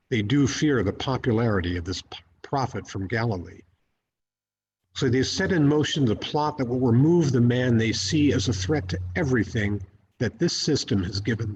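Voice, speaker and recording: A somewhat breathy man's voice at medium pitch, with lively intonation. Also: moderate pace. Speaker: Episcopal priest giving a sermon. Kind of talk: church sermon.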